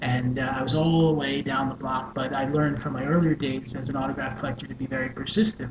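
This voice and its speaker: A man talks very fast with hardly any pauses and fairly even intonation. Noticeable background noise and audible room echo surround him. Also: medium pitch for a man. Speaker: social worker and life coach. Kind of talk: personal storytelling. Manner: hesitant with frequent fillers.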